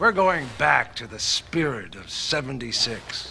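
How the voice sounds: A man at medium pitch puts on a character voice with a bright, sharp tone, vocal fry and big pitch swings. He goes at a fairly slow pace over faint background noise.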